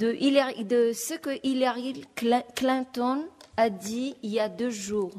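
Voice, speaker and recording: A woman speaks at a very slow pace, her pitch fairly high. Her tone is dark and mellow, with ordinary pitch variation. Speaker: panelist. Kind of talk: panel talk. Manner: halting.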